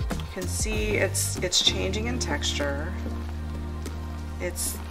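A woman's voice with clear music in the background. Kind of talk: tutorial. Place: kitchen.

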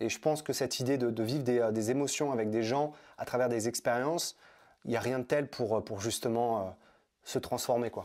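A man at a medium pitch and moderate pace, with fairly even intonation and a quiet background. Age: 30s. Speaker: personal development trainer and author; personal development trainer. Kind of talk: interview. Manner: halting, many fillers and repetitions. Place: home room. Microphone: lapel.

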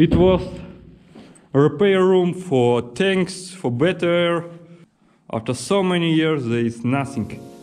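A man with a high voice speaks at a very slow pace, leaving long, frequent pauses, while faint music plays in the background. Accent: Russian. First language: Russian. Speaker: vlogger. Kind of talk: casual vlog talk to camera. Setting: outdoors and underground, on location. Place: tunnel cave. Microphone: phone near.

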